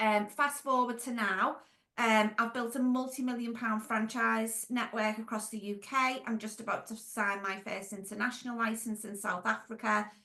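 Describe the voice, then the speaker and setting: With a Merseyside accent, the speaker uses a bright, sharp tone at a moderate pace and fairly even intonation. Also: woman. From Merseyside, England (Wirral). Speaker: franchise business owner and consultant. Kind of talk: podcast interview.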